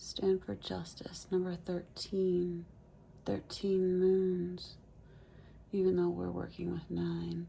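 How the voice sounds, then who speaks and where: A soft-spoken woman talks. Her pace is very slow. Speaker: tarot reader. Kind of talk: tarot reading. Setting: parked near train tracks.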